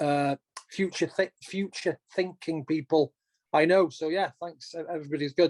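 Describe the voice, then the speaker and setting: A fairly high-pitched man's voice with a Welsh accent, a moderate pace, fairly even intonation, and a dry, close sound with no echo. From North Wales, Llŷn Peninsula. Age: 40s. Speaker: race director and former ultrarunner. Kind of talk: podcast interview.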